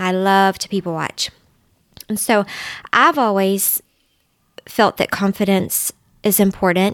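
In a Southern US accent, a woman at a medium pitch speaks at a moderate pace in a dry, close sound with no echo on a very clean recording with a silent background. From US South, Middle Tennessee. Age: 40s. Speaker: dietitian and substitute teacher. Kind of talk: casual interview chat.

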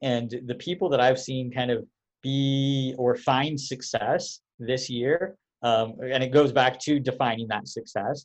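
This man has an ordinary speaking voice at medium pitch. He talks at a fairly slow pace. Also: fairly even intonation. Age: 30s. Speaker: podcast co-host. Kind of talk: casual interview.

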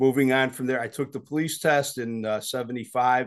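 Against a quiet background, a man with an American accent has a normal speaking voice. He talks at a fairly quick pace and medium pitch with fairly even intonation. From Chicago, South Side. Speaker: retired police chief of detectives. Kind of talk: interview.

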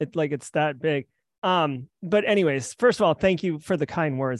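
Recorded with a dry, close sound, no echo and a quiet background, a man speaks at a moderate pace with ordinary pitch variation. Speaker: cybersecurity podcaster. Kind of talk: interview. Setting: video call.

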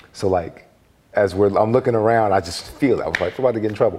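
A man speaks with an American accent. Noticeable background noise runs underneath. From Philadelphia, US. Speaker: former basketball player, media personality. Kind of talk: casual interview, storytelling.

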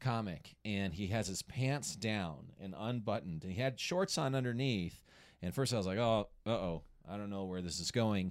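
A man with an American accent speaks in a normal speaking voice at a fairly low pitch and a moderate pace. His intonation is lively and the recording is very clean with a silent background. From Colorado. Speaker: stand-up comedian. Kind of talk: casual chat.

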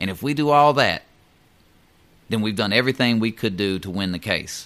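With a Southern US accent, a man speaks at a fairly low pitch. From US South. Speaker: union steward and mail carrier. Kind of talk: educational talk on union contract. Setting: studio.

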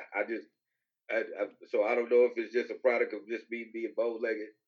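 Talking at a fairly quick pace, a man leaves long, frequent pauses. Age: 30s. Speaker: podcast host. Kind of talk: casual chat.

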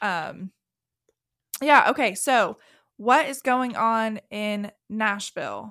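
A woman speaks at a very slow pace, with long, frequent pauses. Her tone is bright and sharp, and her pitch varies in an ordinary way. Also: fairly high pitch for a woman, very clean recording, silent background. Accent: Southern US. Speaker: podcast host, real estate agent. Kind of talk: casual chat.

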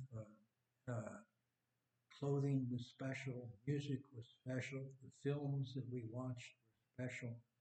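At a very slow pace, a man speaks at a medium pitch with a dark, mellow, somewhat breathy tone and fairly even intonation. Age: 70s. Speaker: surfer. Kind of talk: casual interview, storytelling. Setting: studio.

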